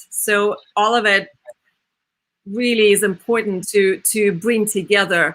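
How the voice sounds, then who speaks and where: A woman with a Russian accent at a fairly slow pace, with long, frequent pauses, very even loudness and fairly even intonation. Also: medium pitch for a woman. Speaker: opera singer and podcast host. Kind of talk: interview.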